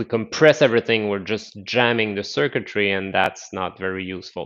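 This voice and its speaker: Speaking in a plain, everyday voice, a man with a fairly low pitch moves at a fairly quick pace with ordinary pitch variation and big swings in loudness against a quiet background. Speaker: qigong instructor. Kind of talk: live online class instruction.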